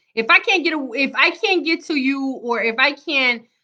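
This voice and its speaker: A woman speaks in a raised, projected voice at a high pitch, her tone animated, bright and sharp. Her pace is fairly slow, and the background is quiet. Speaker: motivational vlogger. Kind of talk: live stream motivational talk.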